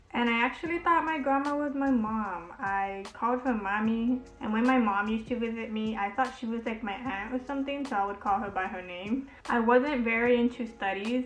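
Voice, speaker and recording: The speech comes at a fairly quick pace with hardly any pauses, in a Spanish accent. Pitch varies in an ordinary way. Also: woman, fairly high pitch for a woman. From Honduras, then US from age five. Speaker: beauty vlogger. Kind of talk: casual chat. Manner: relaxed.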